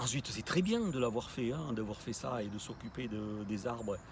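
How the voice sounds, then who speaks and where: A somewhat breathy man at medium pitch, moderate pace and ordinary pitch variation. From southwest France, Bordeaux. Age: 60s. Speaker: ethnobotanist. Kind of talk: interview. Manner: halting, many hesitations.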